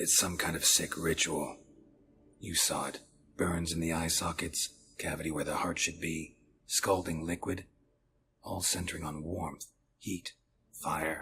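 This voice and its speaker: A man uses a put-on character voice with a very deep, low pitch. Long pauses come often. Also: moderate pace. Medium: video game. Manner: terse, low-key.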